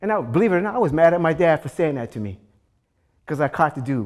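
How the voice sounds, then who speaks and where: On a very clean recording with a silent background, a man talks at a very fast pace. His tone is animated, with very wide pitch swings. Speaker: fitness instructor on community TV. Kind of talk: casual storytelling to camera.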